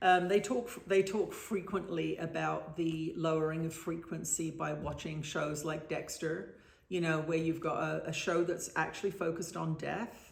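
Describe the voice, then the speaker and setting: A woman with a fairly low pitch and vocal fry speaks at a fairly slow pace, with audible room echo. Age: 60s. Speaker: spiritual author and trance channel. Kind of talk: interview. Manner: halting.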